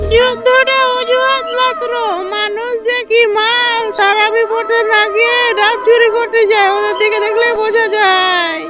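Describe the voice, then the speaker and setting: Over clear background music, someone performs a put-on character voice at a fairly slow pace. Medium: voice reel. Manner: sarcastic, theatrical.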